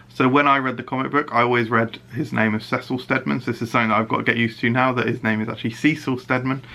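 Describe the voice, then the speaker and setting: Speaking in a British accent at a very fast pace with hardly any pauses, a man uses a bright, sharp tone at a medium pitch. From UK. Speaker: YouTube reviewer. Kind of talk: casual video review. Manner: animated; hesitant fillers.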